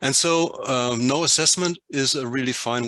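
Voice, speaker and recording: Very slowly, a man talks in a bright, sharp tone with ordinary pitch variation and a dry, close sound with no echo. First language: not English. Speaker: workshop participant. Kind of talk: group discussion presentation. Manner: halting.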